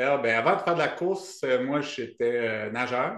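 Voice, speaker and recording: Audible room echo surrounds a man speaking at a moderate pace in an Acadian accent. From Acadian New Brunswick, Canada. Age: 40s. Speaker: ultrarunner and running coach. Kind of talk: podcast interview. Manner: hesitant, many fillers.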